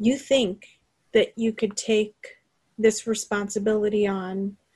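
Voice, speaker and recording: Speaking very slowly in a medium pitch, a woman sounds somewhat breathy and uses a monotone, flat intonation. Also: long, frequent pauses. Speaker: game master of a tabletop role-playing podcast. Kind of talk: narrating a tabletop role-playing game. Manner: dramatic storytelling.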